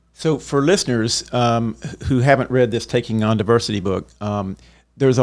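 A man speaks in a plain, everyday voice at medium pitch with ordinary pitch variation, in a very clean recording with a silent background. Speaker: radio host. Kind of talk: interview. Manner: excitable.

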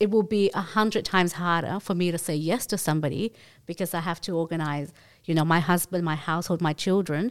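At a fairly quick pace, a woman with an Australian accent speaks with ordinary pitch variation in a very clean recording with a silent background. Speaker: swingers club guest and mother. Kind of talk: casual interview chat.

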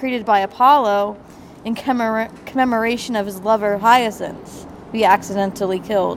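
The speaker has a South Jersey accent. The intonation stays fairly even. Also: woman. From South Jersey, US. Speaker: guest. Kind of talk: casual chat.

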